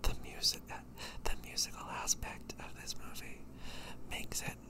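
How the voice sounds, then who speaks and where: A man is whispering. Noticeable background noise sits behind him. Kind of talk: ASMR rambling talk. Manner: whispered.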